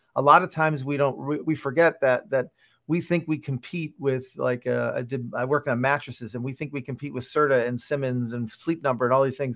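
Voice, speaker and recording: A plain, everyday voice moves at a fairly quick pace with fairly even intonation and hardly any pauses. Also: man, medium pitch for a man. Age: 50s. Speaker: product developer and author. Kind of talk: interview.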